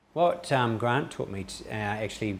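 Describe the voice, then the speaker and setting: A man's fairly low voice with a New Zealand accent and ordinary pitch variation, over light background noise. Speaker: entrepreneur; interviewee. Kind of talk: interview. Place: office. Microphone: lapel.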